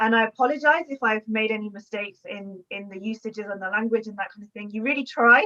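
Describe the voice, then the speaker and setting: A woman with a fairly high pitch speaks at a fairly quick pace with ordinary pitch variation. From England. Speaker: historian and book author. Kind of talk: panel discussion response. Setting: online video call. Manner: hesitant, many fillers.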